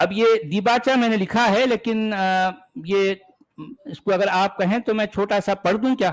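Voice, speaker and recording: A man speaks with a high pitch and fairly even intonation. His loudness stays very even. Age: 60s. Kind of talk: interview discussion. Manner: halting, repeats words.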